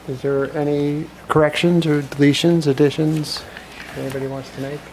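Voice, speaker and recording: Noticeable background noise sits under a moderately paced delivery. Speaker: town council chair. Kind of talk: council meeting.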